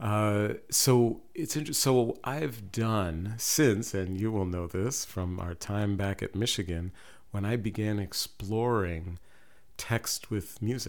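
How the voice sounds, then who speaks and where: Speaking at a very slow pace with a fairly low pitch, a man is heard in a very clean recording with a silent background. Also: ordinary pitch variation. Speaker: professor and poet. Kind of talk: interview chat. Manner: soft-spoken.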